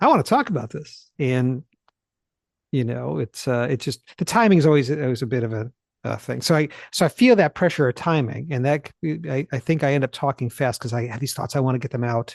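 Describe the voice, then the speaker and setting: A man at medium pitch with ordinary pitch variation and a fairly quick pace, in a dry, close sound without echo. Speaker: Bible teacher. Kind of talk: casual chat. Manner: fast; clips off own sentences.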